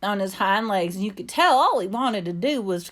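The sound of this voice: The speaker uses an unforced reading voice. It carries through the whole clip.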